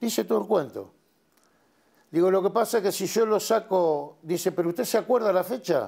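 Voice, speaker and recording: In a dark, mellow tone with very even loudness, the voice moves at a moderate pace with ordinary pitch variation against a quiet background. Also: man, high pitch for a man. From Argentina, Luján, Buenos Aires province; Buenos Aires province, Argentina. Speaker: war veteran. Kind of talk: testimony. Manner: hesitant, many fillers. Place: studio. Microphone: lapel.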